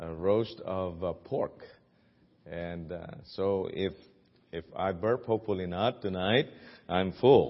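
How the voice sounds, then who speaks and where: A man's fairly low voice in a Filipino accent, very slow with long, frequent pauses and ordinary pitch variation. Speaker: guest preacher at a missions conference. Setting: church service.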